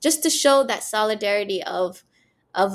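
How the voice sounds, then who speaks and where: A woman speaks with lively intonation. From Canada, Somali-born. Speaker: UN youth and innovation officer. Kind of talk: interview conversation. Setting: remote call from Mogadishu.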